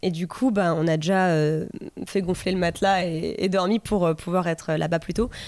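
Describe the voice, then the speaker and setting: A woman with an unremarkable speaking voice at a moderate pace, on a very clean recording with a silent background. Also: fairly low pitch for a woman, fairly even intonation. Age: 30s. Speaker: plant seller, former nurse. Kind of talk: casual chat.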